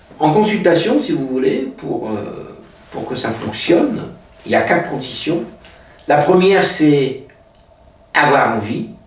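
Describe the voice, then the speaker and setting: A man with a high voice speaks at a very slow pace, with long, frequent pauses and very wide pitch swings. Noticeable background noise and audible room echo fill the recording. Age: 60s. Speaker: hypnotist. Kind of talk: interview. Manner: hesitant, many filler sounds.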